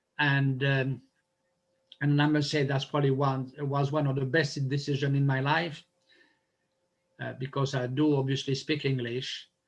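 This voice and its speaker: In a strong non-native accent, a man with a fairly high pitch speaks in a somewhat breathy, monotone, flat voice, leaving long, frequent pauses. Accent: strong foreign. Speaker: public speaker. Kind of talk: interview. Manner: fast; halting.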